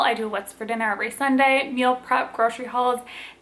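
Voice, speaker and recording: A woman with an American accent speaks at a high pitch with fairly even intonation. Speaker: lifestyle and cooking vlogger. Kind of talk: casual Q&A vlog.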